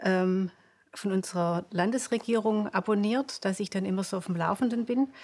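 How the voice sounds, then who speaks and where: On a very clean recording with a silent background, a woman with a Swabian accent speaks at a medium pitch and a moderate pace with fairly even intonation. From Swabia, near Stuttgart. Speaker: pediatric osteopath. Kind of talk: interview. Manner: halting, many fillers.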